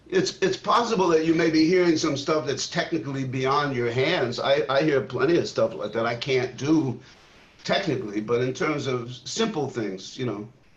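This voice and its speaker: A man with an American accent, fairly high in pitch, at a moderate pace with lively intonation, against noticeable background noise. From New York City (Queens). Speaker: jazz drummer. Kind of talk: casual chat. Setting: video call.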